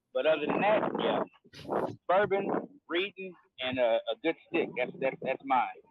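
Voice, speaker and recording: A man speaks loudly in a high voice with lively intonation at a moderate pace. He leaves long, frequent pauses. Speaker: cigar business owner. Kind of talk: casual chat.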